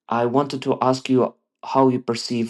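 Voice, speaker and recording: A quiet background behind a man talking at a moderate rate. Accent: Eastern European. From Eastern Europe. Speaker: listener sending a voice question. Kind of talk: recorded voice message.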